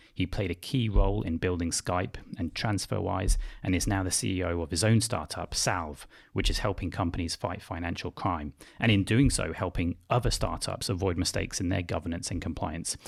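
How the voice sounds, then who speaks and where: The speech is somewhat breathy and fairly quick, with ordinary pitch variation. It is a very clean recording with a silent background. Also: man, very deep, low pitch for a man. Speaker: podcast host. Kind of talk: interview podcast. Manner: fast.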